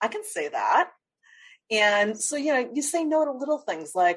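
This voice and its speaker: A normal speaking voice at a fairly quick pace, with lively intonation, over a quiet background. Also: woman. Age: 50s. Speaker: life strategist. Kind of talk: interview.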